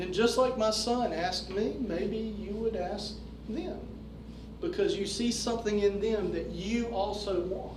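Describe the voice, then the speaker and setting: A man with an American accent speaks at a fairly slow pace, his voice high-pitched with ordinary pitch variation. Noticeable background noise and audible room echo accompany him. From North Carolina. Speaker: fraternal organization leader. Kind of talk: lecture.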